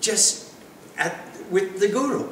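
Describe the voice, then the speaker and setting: Light background noise and audible room echo surround a man's speech. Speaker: spiritual teacher. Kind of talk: lecture. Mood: warm, animated. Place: home room.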